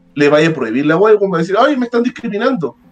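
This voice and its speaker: With a Chilean accent, a man speaks using lively intonation. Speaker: lawyer. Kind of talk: casual chat.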